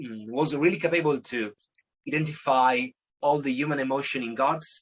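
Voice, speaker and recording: A man talks with an Italian accent and ordinary pitch variation. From Italy. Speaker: singer-songwriter. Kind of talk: interview. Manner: halting.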